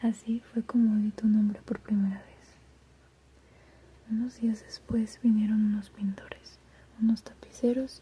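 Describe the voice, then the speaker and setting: Soft-spoken and gentle in tone, a woman with a fairly high pitch talks at a fairly slow pace in a flat monotone, with noticeable background noise behind her. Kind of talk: literary reading of a novella. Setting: reading aloud while doing homework in the background. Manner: soft-spoken, gentle, relaxing.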